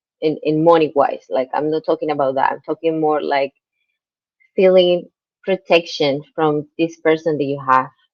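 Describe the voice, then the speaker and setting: With a very deep, low pitch, a woman talks in fairly even intonation. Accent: Spanish. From Colombia. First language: Spanish. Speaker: guest interviewee. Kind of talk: interview conversation. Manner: halting.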